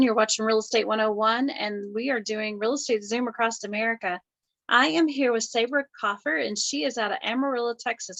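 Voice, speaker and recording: A woman with a Southern US accent, her fairly high pitch carrying ordinary variation. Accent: Southern drawl. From US South. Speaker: real estate agent. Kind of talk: casual video chat. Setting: video call.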